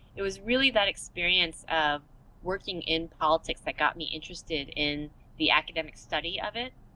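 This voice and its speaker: A woman with an American accent talks fairly quickly at a fairly low pitch, her tone bright and sharp and her pitch variation ordinary. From Texas, US. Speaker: professor. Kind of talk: interview.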